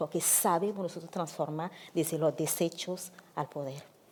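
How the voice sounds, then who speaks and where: With a plain, everyday voice, a woman speaks at a moderate pace in a fairly low pitch, her intonation fairly even. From Africa. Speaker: activist, founder of migrant women's association. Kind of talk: panel talk.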